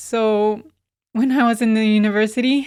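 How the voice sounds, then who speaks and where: Speaking in a Spanish accent, a woman has a fairly high pitch and a monotone, flat intonation. Her pace is moderate, and the recording is very clean with a silent background. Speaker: yoga teacher and therapist. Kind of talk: podcast interview.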